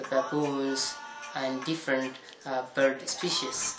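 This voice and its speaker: A man talks at a fairly slow pace. Noticeable background noise can be heard. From Ethiopia, Gondar. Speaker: tour guide. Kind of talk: casual talk to camera. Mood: friendly, smiling. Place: home room.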